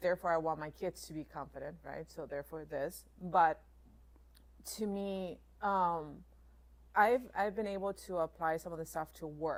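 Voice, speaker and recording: A woman with a non-native accent speaks at a fairly low pitch and a moderate pace, with ordinary pitch variation. Her speech has long, frequent pauses. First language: not English. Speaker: jiu-jitsu student and assistant coach. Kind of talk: podcast interview. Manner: hesitant.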